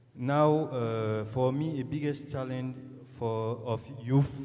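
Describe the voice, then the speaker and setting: In a room with audible echo and noticeable background noise, a man speaks fairly slowly at a medium pitch. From Burkina Faso. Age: young. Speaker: startup founder, audience member. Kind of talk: audience question at forum. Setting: conference hall with audience. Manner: halting.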